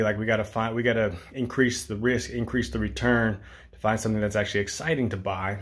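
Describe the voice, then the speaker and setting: A man speaks with a fairly low pitch. His intonation stays fairly even. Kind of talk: casual vlog chat. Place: home room. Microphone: phone near.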